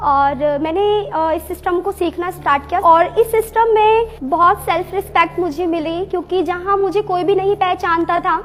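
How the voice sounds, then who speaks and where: Noticeable background noise lies under speech with ordinary pitch variation. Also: woman. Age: 25. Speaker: network marketing distributor. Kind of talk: testimony.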